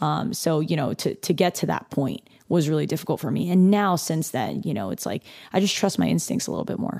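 Very wide pitch swings, vocal fry, a dark, mellow tone and a fairly quick pace. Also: woman, very deep, low pitch for a woman. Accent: West Coast US. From California, near Los Angeles. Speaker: chef. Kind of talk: casual interview chat.

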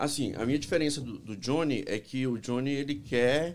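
An unremarkable speaking voice from a man, fairly high in pitch, with lively intonation at a moderate pace. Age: 40s. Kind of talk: casual chat. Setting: studio.

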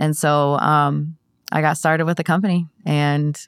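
Woman with a very deep, low pitch and monotone, flat intonation, very clean recording, silent background. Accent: American. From Ohio. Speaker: insurance agency owner. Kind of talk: interview. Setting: studio.

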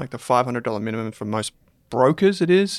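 This man speaks with an Australian accent at a medium pitch and a fairly quick pace. The sound is dry and close, with no echo. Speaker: finance podcast host and company founder. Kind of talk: casual debate discussion.

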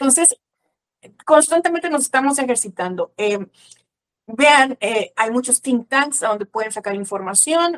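The recording is dry and close, with no echo. A woman talks in a high voice with ordinary pitch variation. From Mexico. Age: 30s. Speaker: church teacher. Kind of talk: interview.

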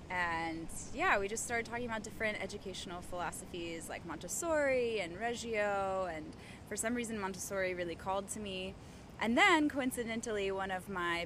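A woman's voice with ordinary pitch variation, noticeable background noise and audible room echo. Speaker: yoga instructor and Montessori teacher. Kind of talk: casual interview. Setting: outdoors in a park.

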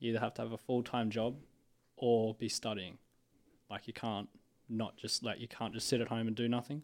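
A man with an Australian accent at a medium pitch, monotone and flat, fairly quick but broken by long, frequent pauses, in a very clean recording over a silent background. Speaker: university student. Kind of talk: casual interview chat. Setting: studio.

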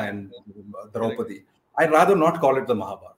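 A man with a Keralan accent speaks at a very fast pace with very wide pitch swings. His voice is somewhat breathy. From India, Kerala (Malayali). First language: Malayalam. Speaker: author of a mythological novel. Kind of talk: interview.

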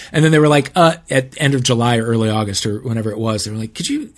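Talking at a very fast pace, a man uses a medium pitch with ordinary variation. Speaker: TV host and podcaster. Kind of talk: casual chat. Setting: video call.

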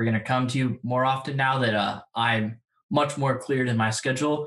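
An unremarkable speaking voice moves at a moderate pace. Its loudness stays very even, and its intonation fairly even. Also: man. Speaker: podcast co-host. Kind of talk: casual interview.

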